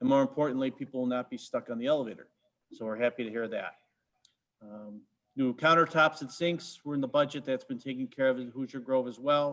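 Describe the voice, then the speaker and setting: A man with a fairly high pitch and fairly even intonation, at a fairly quick pace against a quiet background. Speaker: park district staff reporting to board. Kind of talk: board meeting report. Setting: video conference meeting. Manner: fast.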